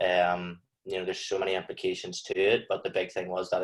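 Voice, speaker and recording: This man has a strong Northern Irish accent. He speaks at a fairly quick pace. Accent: thick Northern Irish. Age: 20s. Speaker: clothing brand founder. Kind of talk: podcast interview.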